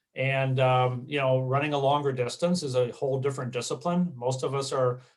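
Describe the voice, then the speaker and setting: At a moderate pace, a man speaks with a medium pitch, somewhat breathy and in a flat monotone. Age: 60s. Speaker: marathon runner. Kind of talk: interview. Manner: halting, many fillers.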